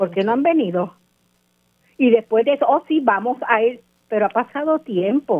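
Speaking at a moderate pace with lively intonation, a woman with a fairly high pitch leaves long, frequent pauses. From Puerto Rico, Guánica. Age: 60s. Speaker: local resident. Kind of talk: radio interview. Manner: impassioned.

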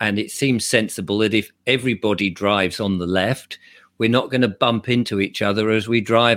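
A man with an English accent talks at a fairly low pitch with ordinary pitch variation. The recording is very clean with a silent background and a dry, close sound with no echo. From England. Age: 60s. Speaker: YouTuber and commentator. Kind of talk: interview.

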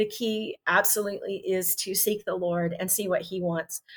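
A woman speaks with an American accent at a moderate pace, her pitch medium and its variation ordinary. Hers is an unremarkable speaking voice. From Texas. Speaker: missionary. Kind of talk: casual interview. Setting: video call.

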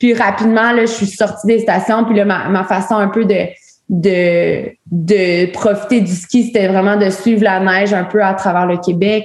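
Speaking at a fairly slow pace, a woman keeps very even loudness and monotone, flat intonation. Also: medium pitch for a woman. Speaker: outdoor women's community director. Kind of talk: casual chat.

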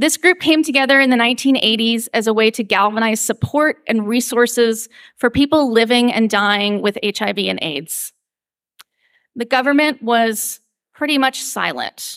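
A woman with a normal speaking voice talks in an American accent at a fairly high pitch. Her pace is moderate, her pitch variation ordinary, and the sound dry and close with no echo. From US Northeast, Pennsylvania coal region. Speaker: lay preacher. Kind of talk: sermon.

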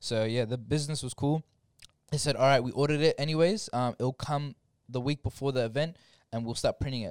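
This very clean recording has a silent background. The speaker moves at a fairly quick pace with an Australian accent. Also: man, fairly high pitch for a man, ordinary pitch variation, dry, close sound with no echo. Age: 20s. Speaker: podcast guest, storyteller. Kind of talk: casual chat.

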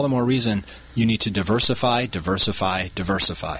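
With noticeable background noise present, this man's medium-pitched voice moves fairly quickly and keeps a fairly even intonation. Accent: American. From Wisconsin, Milwaukee area. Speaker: hedge fund CEO, former lawyer. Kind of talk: radio interview. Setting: studio.

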